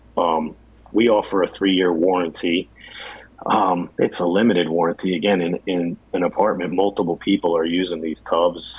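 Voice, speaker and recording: At a moderate pace, a man talks with a very deep, low pitch and fairly even intonation. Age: 40s. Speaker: bathtub refinishing business owner. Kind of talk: casual interview.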